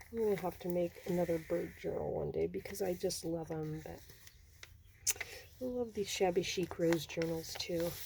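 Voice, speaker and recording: A woman speaks in a relaxed tone at a moderate pace against noticeable background noise. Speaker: crafter showing handmade journals. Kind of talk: casual craft flip-through. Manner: relaxed, chatty with fillers.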